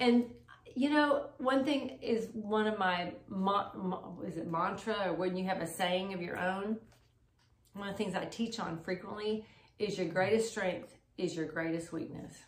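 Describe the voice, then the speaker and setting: An ordinary speaking voice from a woman, medium in pitch, at a fairly slow pace with ordinary pitch variation. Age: 60s. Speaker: married couple sharing marriage advice. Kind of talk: casual chat.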